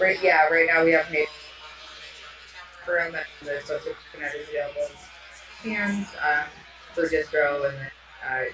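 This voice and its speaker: Noticeable background noise runs under the speech. The pace is moderate, broken by long, frequent pauses. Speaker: brewery owner. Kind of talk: casual chat. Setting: live stream in taproom. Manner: loud.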